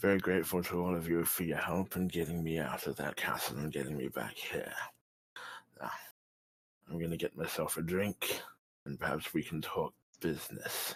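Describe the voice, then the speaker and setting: Putting on a raspy character voice, a man speaks at a moderate pace in a very deep, low pitch, leaving long, frequent pauses. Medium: actual play. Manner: blunt, folksy.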